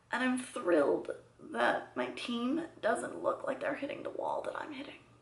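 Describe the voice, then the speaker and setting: Noticeable background noise sits behind the voice. The delivery holds a moderate tempo. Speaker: vlogger. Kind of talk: personal vlog.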